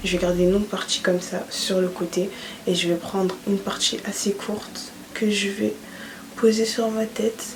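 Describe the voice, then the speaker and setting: A soft-spoken woman talks through noticeable background noise. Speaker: beauty YouTuber. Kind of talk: tutorial. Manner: casual.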